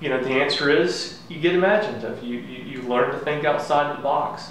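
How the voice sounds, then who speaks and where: A man speaks with ordinary pitch variation in a room with audible echo and light background noise. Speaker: fitness coach. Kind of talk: tutorial. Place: garage. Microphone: camera far.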